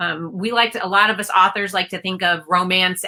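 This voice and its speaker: A woman's voice with a bright, sharp tone sits at a medium pitch, her intonation fairly even. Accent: American. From US, Maryland. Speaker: author. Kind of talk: interview. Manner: hesitant, many fillers.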